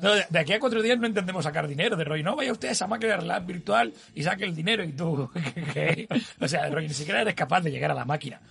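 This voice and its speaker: Against noticeable background noise, a man speaks very fast in a high, animated voice full of lively intonation. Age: 40s. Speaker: podcast co-host. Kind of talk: casual chat.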